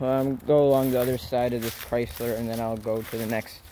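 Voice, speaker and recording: At a moderate pace, a man speaks with a dry sound with no echo and light background noise. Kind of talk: casual vlog narration. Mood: amazed, excited. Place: forest. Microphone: phone near.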